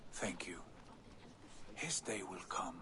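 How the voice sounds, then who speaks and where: Over loud background noise, a man whispers in a put-on character voice. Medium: video game.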